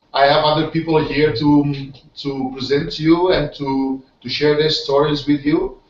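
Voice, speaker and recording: With music playing behind, the speaker keeps a moderate pace in a Portuguese accent. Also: man. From Portugal. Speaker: online business team leader. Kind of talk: webinar hosting. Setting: online video hangout. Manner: halting, many fillers and repetitions.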